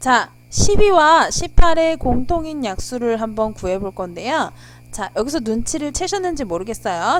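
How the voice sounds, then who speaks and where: A woman speaks at a fairly slow pace, with very wide pitch swings. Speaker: math tutor. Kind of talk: tutorial. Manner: polite explanatory.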